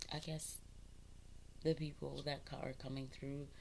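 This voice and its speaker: A woman talks with fairly even intonation. Room echo is audible. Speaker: spiritual content creator. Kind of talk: casual spiritual talk to camera. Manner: halting, many ums; expressive, talks with her hands.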